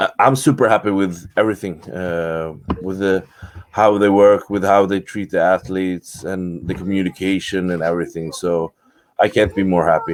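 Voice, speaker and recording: A man talks at a moderate pace in a very deep, low voice with fairly even intonation. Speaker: bodybuilder. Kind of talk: interview. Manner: halting.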